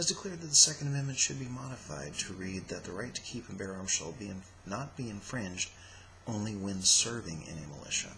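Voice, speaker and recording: Quiet and fairly low in pitch, a man with an American accent speaks with lively intonation amid noticeable background noise. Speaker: political vlogger. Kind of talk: opinion monologue. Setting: at home. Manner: stilted.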